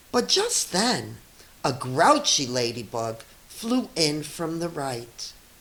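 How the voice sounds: Speaking slowly amid audible room echo, a woman has a low pitch, a fairly bright tone and big pitch swings.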